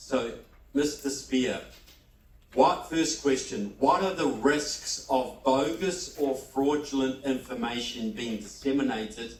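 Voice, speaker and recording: In a New Zealand accent, a man with a medium-pitched voice speaks at a very slow pace amid noticeable background noise and audible room echo. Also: ordinary pitch variation. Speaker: debate moderator. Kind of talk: debate moderation.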